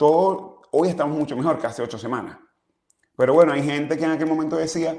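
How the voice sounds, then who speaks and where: Very fast male speech at a fairly high pitch. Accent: Zulian. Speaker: exiled opposition politician. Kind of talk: interview.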